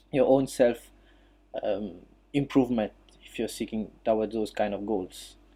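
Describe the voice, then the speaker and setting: Medium-pitched male voice with a dark, mellow tone, fairly even intonation, moderate pace and long, frequent pauses. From Mauritius. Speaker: physiotherapist and jiu-jitsu practitioner. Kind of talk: talk on an online audio chat. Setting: online audio chat room. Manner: halting, many fillers.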